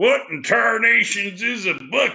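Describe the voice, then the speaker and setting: A man's put-on character voice in a Texas accent, raised and projected, at a moderate pace. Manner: folksy, exaggerated.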